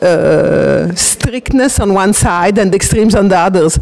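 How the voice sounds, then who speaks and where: With an Italian accent, a woman at medium pitch speaks in fairly even intonation amid noticeable background noise. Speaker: transactional analysis practitioner. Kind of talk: interview. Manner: hesitant.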